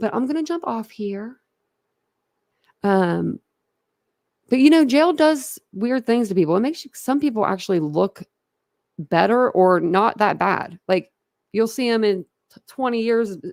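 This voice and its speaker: Long, frequent pauses break up a woman's fairly slow speech at a fairly high pitch, with very wide pitch swings. The sound is dry and close with no echo. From Philadelphia, Pennsylvania. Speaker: true crime YouTuber. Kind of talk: casual livestream chat. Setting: home livestream, camera off.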